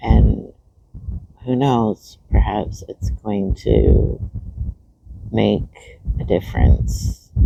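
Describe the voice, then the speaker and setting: Speaking quietly at a very slow pace, a man with a very deep, low voice uses very wide pitch swings and long, frequent pauses. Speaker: spiritual vlogger. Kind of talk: casual vlog monologue. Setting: outdoors in a park. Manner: quiet, low.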